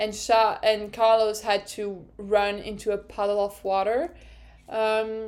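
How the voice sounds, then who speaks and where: A woman's medium-pitched voice in a French accent, on a very clean recording with a silent background. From France. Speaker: podcast host. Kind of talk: casual monologue recap. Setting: home recording with open window. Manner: animated.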